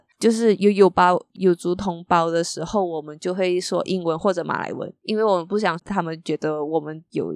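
A woman with a Malaysian accent speaks at a fairly low pitch and a moderate pace with ordinary pitch variation, the sound dry and close with no echo in a very clean recording over a silent background. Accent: Malaysian Chinese Mandarin. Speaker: architecture magazine editor. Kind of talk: casual interview chat.

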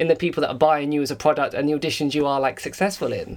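A man speaks with an English accent. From England. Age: 30s. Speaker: podcast host, former dancer. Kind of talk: casual chat. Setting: Instagram live video call.

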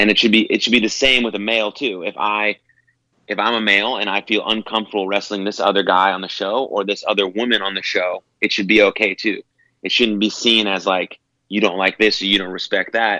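A man speaks at a fairly quick pace in a fairly low pitch, his tone bright and sharp. His intonation is flat and monotone over a quiet background. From Texas (Dallas area), born in San Francisco. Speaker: pro wrestler. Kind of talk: casual interview.

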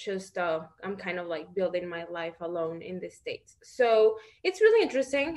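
The pace is moderate. A woman talks at a medium pitch. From Mexico (Guanajuato). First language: Spanish. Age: 20s. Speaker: reality TV participant and model. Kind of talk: interview.

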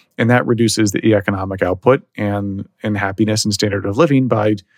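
A man with an American accent speaks in an ordinary speaking voice. His pitch is fairly low, with ordinary pitch variation. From Texas, Dallas. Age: 30s. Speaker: bitcoin entrepreneur. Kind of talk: podcast interview.

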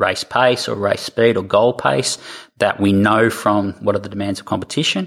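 With an Australian accent, a man speaks at a moderate pace in a fairly low voice with fairly even intonation. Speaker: triathlon coach. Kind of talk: interview.

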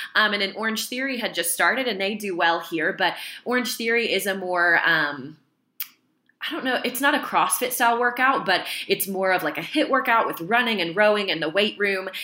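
Bright and sharp in tone, a woman talks at a fairly quick pace with lively intonation. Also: medium pitch for a woman. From Kentucky. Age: 20s. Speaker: fitness studio owner. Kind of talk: interview.

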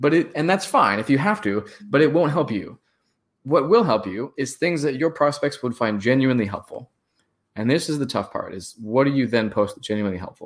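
Fairly quick, lively speech from a man with a fairly high pitch. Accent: West Coast American. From San Francisco. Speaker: startup founder and marketer. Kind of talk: casual interview.

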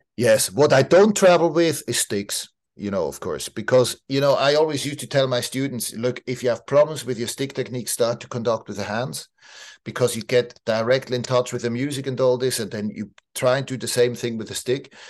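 A man with a Swiss German accent talks at medium pitch and a fairly quick pace. The background is quiet. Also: ordinary pitch variation. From Switzerland, village outside Basel. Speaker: orchestra conductor. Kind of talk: interview conversation. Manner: halting, many fillers.

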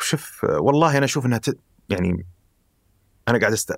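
Lively intonation from a man. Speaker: life design researcher. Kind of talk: conversational interview.

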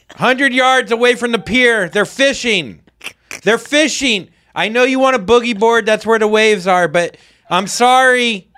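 A man with an extremely high pitch speaks in a raised, projected voice, bright and sharp in tone, with very even loudness and ordinary pitch variation. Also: moderate pace. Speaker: podcast co-host. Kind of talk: casual chat. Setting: studio.

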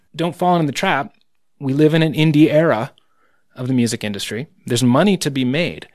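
A man with a normal speaking voice and an American accent, fairly high-pitched for a man, at a fairly quick pace with ordinary pitch variation, over a quiet background. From United States. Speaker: musician and record producer. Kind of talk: interview conversation. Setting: studio.

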